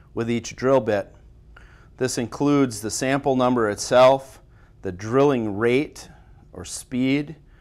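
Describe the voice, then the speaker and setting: Fairly even intonation from a man at a moderate pace. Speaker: timber inspection instructor. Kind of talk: tutorial. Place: studio.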